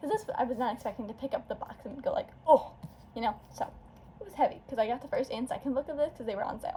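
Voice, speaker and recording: A woman speaks very fast in a high voice with a dark, mellow tone. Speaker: booktuber. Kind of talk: casual chat. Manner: animated.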